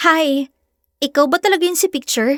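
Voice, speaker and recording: A woman's squeaky, high-pitched put-on character voice at a moderate pace, dry and close with no echo. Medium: read story. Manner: sweet, shy-seeming, slightly cold.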